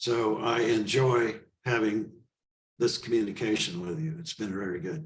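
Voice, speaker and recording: With ordinary pitch variation, a man speaks at a moderate pace in a somewhat breathy voice. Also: medium pitch for a man. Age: 80s+. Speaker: author and animal rights activist. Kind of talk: interview conversation.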